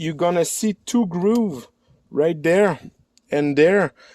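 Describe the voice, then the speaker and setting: A man talks with a French accent and a high pitch. His intonation is lively and his pace fairly slow. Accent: non-native English, French. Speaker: DIY car repair YouTuber. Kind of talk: tutorial. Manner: halting, with many fillers.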